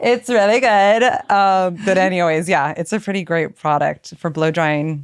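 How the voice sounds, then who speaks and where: In an American accent, a woman with an unremarkable speaking voice talks at a moderate pace and medium pitch, with ordinary pitch variation. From East Los Angeles. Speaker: celebrity hairstylist and salon owner. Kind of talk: podcast interview, casual chat.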